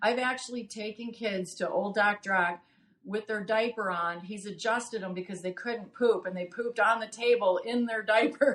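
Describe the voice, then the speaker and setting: Against noticeable background noise, a woman with an American accent speaks at medium pitch and a moderate pace with fairly even intonation. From Wisconsin, US Midwest. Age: 60s. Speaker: chiropractic patient. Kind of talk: interview.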